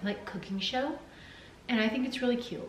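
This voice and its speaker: Noticeable background noise and audible room echo accompany a woman speaking very fast. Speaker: vlogger. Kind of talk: casual chat.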